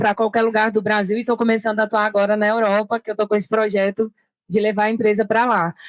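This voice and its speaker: The speaker is a woman with a fairly high pitch. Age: 30s. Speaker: events entrepreneur and digital nomad. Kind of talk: panel discussion. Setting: trade fair stand with live audience.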